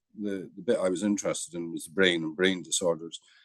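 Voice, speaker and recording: In a Scottish accent, the voice comes through with a dry, close sound and no echo. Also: man. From Scotland. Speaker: psychiatry professor. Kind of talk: interview.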